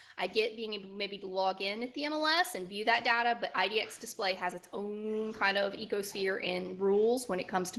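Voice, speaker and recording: In a Southern US accent, a woman talks at a fairly quick pace with a bright, sharp tone, a medium pitch and ordinary pitch variation. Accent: Southern twang. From Alabama, Gulf Coast. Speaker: software trainer. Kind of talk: online training session. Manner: halting, with repeated words.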